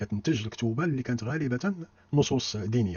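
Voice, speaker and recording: Speaking with a Moroccan accent, a man sounds somewhat breathy at medium pitch, a fairly quick pace and ordinary pitch variation. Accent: Moroccan Darija. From Morocco. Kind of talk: history lecture narration.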